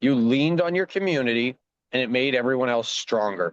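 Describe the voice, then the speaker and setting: A man with a Canadian Prairie accent speaks at a moderate pace with ordinary pitch variation. The sound is dry and close with no echo, over a quiet background. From rural Saskatchewan, Canada. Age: 40s. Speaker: former provincial politician and farmer. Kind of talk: interview.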